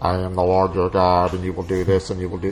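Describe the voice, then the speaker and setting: A man's put-on character voice, very deep and low, delivered at a very fast pace in a monotone, flat intonation over clear background noise. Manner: booming, authoritative.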